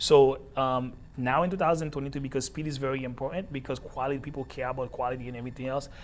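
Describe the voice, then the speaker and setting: At a very fast pace and with hardly any pauses, a man with a Haitian accent talks at a medium pitch with fairly even intonation. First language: Haitian Creole. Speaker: entrepreneur. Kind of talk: interview. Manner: halting, repeats words.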